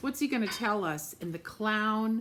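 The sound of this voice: A woman speaks at a slow pace with lively intonation and a fairly bright tone.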